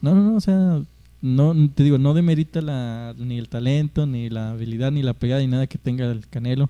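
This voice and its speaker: At a fairly quick pace, a man with a plain, everyday voice speaks at medium pitch with ordinary pitch variation. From Mexico. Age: 20s. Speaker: podcast host. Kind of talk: casual chat.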